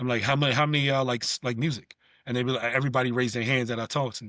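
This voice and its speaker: Here a man talks with a New York accent. His voice has a medium pitch. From New York (Bronx). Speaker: former pro basketball player and coach. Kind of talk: podcast interview.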